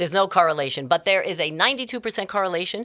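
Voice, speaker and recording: On a very clean recording with a silent background, a woman speaks in an animated tone at a medium pitch with a New York accent. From New York City (Bronx). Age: 60s. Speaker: life coach and entrepreneur. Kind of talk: podcast interview. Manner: fast.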